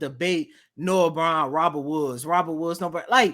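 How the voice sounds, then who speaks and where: A man speaks in a raised, projected voice with a bright, sharp tone at a moderate pace, on a very clean recording with a silent background. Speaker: sports podcast co-host. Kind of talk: casual sports podcast chat. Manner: animated.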